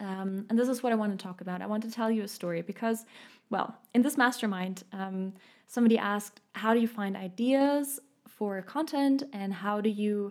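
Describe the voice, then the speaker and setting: A woman with a German accent speaks in a fairly high voice at a moderate pace, with ordinary pitch variation. The recording is very clean, with a silent background. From Munich, Germany. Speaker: podcast host and healer. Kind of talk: solo podcast monologue.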